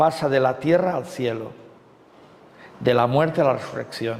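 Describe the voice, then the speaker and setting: Fairly slow speech with ordinary pitch variation. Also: man. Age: 60s. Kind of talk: retreat talk. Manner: conversational with frequent fillers.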